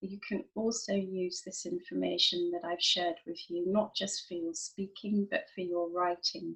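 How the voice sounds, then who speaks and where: A woman speaks with a London accent in a somewhat breathy voice. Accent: British English, London. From London, England. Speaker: IELTS teacher. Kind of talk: online lesson talk to camera.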